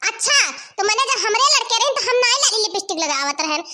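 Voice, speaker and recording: A woman's cartoonish character voice, extremely high in pitch with lively intonation, over clear background noise. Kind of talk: rustic village comedy. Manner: blunt, lecturing.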